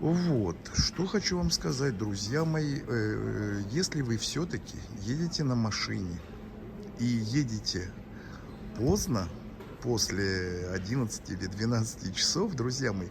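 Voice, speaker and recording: Speaking at a very slow pace with long, frequent pauses, a man with a fairly low voice uses lively intonation amid audible room echo. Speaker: vlogger. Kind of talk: travel vlog. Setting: airport. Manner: soft-spoken; halting.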